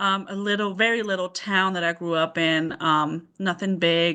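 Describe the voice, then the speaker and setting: A woman's bright, sharp tone at a moderate pace, fairly even in intonation, over a quiet background. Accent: slight German. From southern Germany, near Stuttgart. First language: German. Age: 30s. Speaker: mother sharing parenthood story. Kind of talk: interview.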